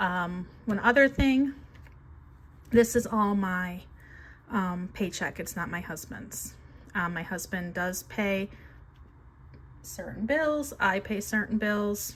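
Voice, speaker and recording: With long, frequent pauses and a very slow pace, a woman speaks in a somewhat breathy voice with lively intonation over light background noise. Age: 50s. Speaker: budgeting vlogger and teacher; budgeting vlogger, teacher. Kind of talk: casual budgeting vlog. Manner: casual, frequent fillers (um). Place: home room. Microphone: phone near.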